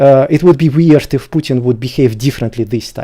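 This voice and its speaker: A man with a Russian accent speaks in a dark, mellow tone with ordinary pitch variation. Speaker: debater. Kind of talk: debate. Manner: halting.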